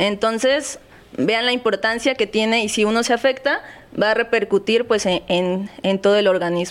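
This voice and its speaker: Fairly high in pitch, a woman speaks at a moderate pace with ordinary pitch variation and very even loudness. She has a normal speaking voice. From Mexico, Acapulco, Guerrero. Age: young. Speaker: physiotherapist. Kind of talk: interview. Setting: studio.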